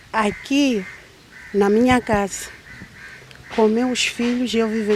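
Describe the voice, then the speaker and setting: A woman speaks at a very slow pace in a fairly high pitch with fairly even intonation. Noticeable background noise runs under her voice. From Mozambique. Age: 60s. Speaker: mother of victim, farmer. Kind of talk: emotional testimony.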